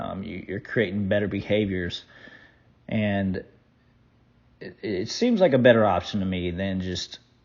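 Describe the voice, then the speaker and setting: His voice sits fairly low for a man. The speaker, a man, keeps his intonation fairly even. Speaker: podcast host and personal trainer. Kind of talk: solo podcast monologue. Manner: halting, many fillers and repetitions; casual.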